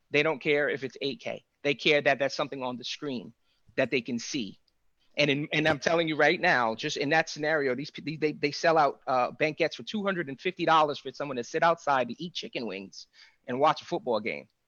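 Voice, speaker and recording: Fairly quick speech from a man, fairly high in pitch, with ordinary pitch variation. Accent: New York. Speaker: AV integration business owner. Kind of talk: panel discussion. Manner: animated.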